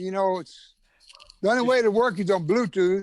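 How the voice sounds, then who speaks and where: A man speaks in a high voice with an American accent. His pitch moves in an ordinary way. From Texas. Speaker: shark diver and underwater cinematographer. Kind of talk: casual interview chat. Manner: deliberately slow. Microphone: Bluetooth mic with echo.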